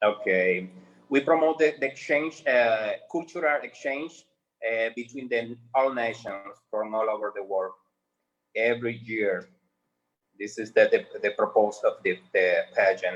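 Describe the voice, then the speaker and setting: This man speaks fairly slowly with a Spanish accent. His pitch is medium, with ordinary variation. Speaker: pageant producer. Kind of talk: interview. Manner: halting.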